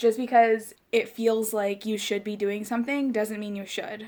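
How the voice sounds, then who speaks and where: The woman keeps her intonation fairly even. Her voice is medium pitched and moderate in pace. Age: 30s. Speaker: podcast host. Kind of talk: casual chat. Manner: loud.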